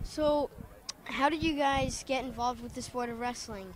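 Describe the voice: A man speaks at an extremely high pitch and a fairly slow pace. His intonation is fairly even.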